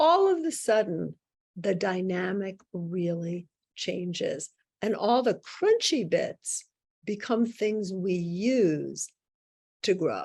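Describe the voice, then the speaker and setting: A woman with an American accent speaks at a very slow pace, her pitch medium and her pitch variation ordinary. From New York. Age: 60s. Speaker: psychic and author. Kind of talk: podcast interview.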